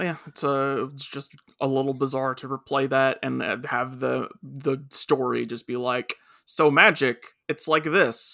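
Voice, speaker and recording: With a plain, everyday voice, a man talks fairly slowly at a medium pitch, his intonation fairly even but his loudness swinging widely. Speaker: podcast co-host, anime reviewer. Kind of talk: casual chat.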